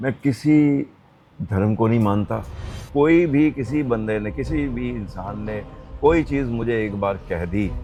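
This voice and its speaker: With music in the background, a man speaks at a fairly low pitch. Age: 80s+. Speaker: retired elder sharing life story. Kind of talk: interview answer. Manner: Hindi mixed with English phrases.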